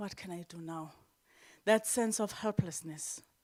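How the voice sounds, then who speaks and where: A woman talks at a moderate pace in a plain, everyday voice with medium pitch and fairly even intonation. The recording is very clean and the background silent. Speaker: financial literacy speaker. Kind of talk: conference talk.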